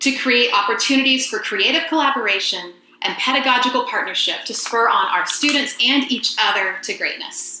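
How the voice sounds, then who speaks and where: A woman with an American accent speaks at a moderate pace in a high pitch with lively intonation. Room echo is audible, and background noise is noticeable. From US South, rural Georgia. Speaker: voice teacher, presenter. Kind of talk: webinar presentation and Q&A.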